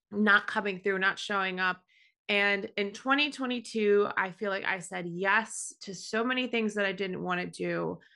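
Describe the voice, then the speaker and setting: A woman with an American accent speaks at a moderate pace in a medium pitch, with a bright, sharp tone, ordinary pitch variation and a quiet background. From New York. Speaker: graphic designer and digital artist. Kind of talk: casual chat.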